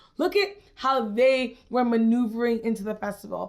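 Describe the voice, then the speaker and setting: Her tone animated and her pitch high, a woman talks at a moderate pace. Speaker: festival vlogger. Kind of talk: casual vlog talk to camera.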